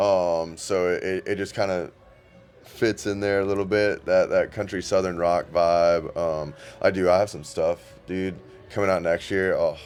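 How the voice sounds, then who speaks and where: A man speaks with an American accent at a moderate pace. Music plays in the background. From Florida (Ocala). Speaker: country singer-songwriter. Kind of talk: casual interview chat. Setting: restaurant music venue. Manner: halting, many fillers.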